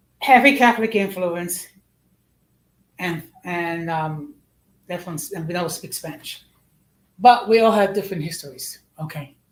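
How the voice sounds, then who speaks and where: Lively in intonation and with big swings in loudness, a woman with an American accent speaks at a moderate pace in a fairly low voice, leaving long, frequent pauses. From United States. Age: 60s. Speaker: online show host. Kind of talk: live stream talk, partly reading research aloud. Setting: live stream. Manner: halting, with many restarts and fillers.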